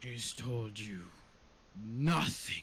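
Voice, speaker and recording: A man puts on a character voice at a medium pitch. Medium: actual play. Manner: terse, intense.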